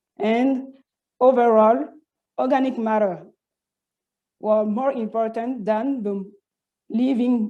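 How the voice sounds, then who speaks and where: A woman with a French accent speaks at a very slow pace, leaving long, frequent pauses. Her fairly high voice has a dark, mellow tone and ordinary pitch variation, with audible room echo. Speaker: PhD student researcher. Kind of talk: conference presentation. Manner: halting, many false starts and repetitions.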